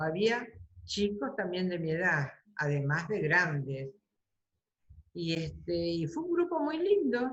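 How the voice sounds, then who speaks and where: Her voice is somewhat breathy and sits at a medium pitch. She talks at a fairly slow pace with very wide pitch swings. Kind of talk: interview answer.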